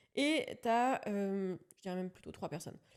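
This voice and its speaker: This woman's voice sits at a medium pitch, with a dark, mellow tone and ordinary pitch variation. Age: 30s. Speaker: real estate investor and content creator. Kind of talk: podcast interview. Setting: video studio. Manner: casual, hesitant with many fillers.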